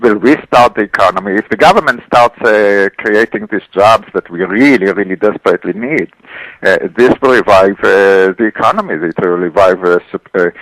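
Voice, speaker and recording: A man's fairly low-pitched voice at a moderate pace, with ordinary pitch variation and a dry, close sound with no echo. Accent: Israeli. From Israel. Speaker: economist. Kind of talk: radio interview. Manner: halting, many fillers and repeats.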